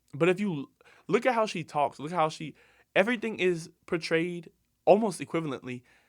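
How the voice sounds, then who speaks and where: On a very clean recording with a silent background, a man speaks fairly quickly in a bright, sharp, animated tone with lively intonation. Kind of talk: casual solo podcast commentary.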